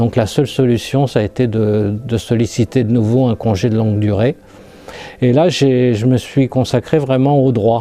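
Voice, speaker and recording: Dark and mellow in tone, the voice keeps very even loudness and fairly even intonation at a fairly slow pace. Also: man, medium pitch for a man. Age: 60s. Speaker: lymphoma survivor, retiree. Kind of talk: testimony. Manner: halting.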